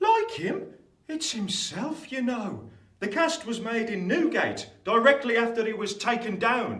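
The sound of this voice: Using a put-on character voice pitched extremely high, a man speaks at a fairly slow pace with big pitch swings and a fairly bright tone, amid strong room echo.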